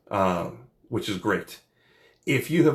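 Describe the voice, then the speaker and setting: This man has an American accent and a medium pitch. His tone is animated and his pace moderate. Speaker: lawyer. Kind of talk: informational talk to camera.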